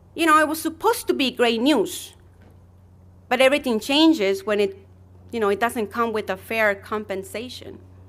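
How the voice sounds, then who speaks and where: A woman with a non-native accent talks at a moderate pace with very wide pitch swings. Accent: noticeable non-native accent in English. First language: Spanish. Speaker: journalist. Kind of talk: personal testimony speech.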